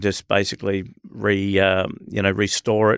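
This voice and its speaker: Recorded with a dry, close sound and no echo, a man with an Australian accent speaks at a moderate pace in a monotone, flat intonation. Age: 50s. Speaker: barber shop business owner. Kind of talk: casual interview. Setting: studio.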